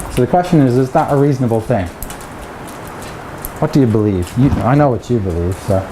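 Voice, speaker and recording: Speaking at a fairly quick pace, a man uses a medium pitch and lively intonation, with long, frequent pauses. Audible room echo and noticeable background noise fill the recording. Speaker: mathematics researcher. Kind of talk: lecture. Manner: hesitant, repeats words.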